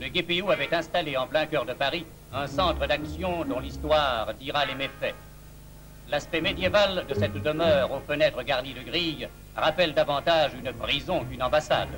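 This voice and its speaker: Music plays in the background as a man keeps to a moderate pace. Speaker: newsreel narrator. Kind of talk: propaganda newsreel narration.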